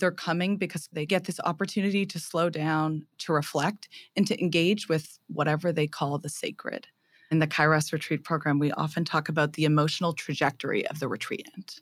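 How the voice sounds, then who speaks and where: Speaking at a fairly quick pace, a woman uses a very deep, low pitch and fairly even intonation on a very clean recording with a silent background. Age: 20s. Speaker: theology graduate and retreat leader. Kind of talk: casual interview; preaching a homily.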